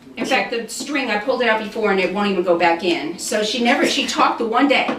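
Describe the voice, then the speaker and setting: A woman at a fairly quick pace with lively intonation, audible room echo and noticeable background noise. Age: 60s. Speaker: channel host. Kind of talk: casual chat.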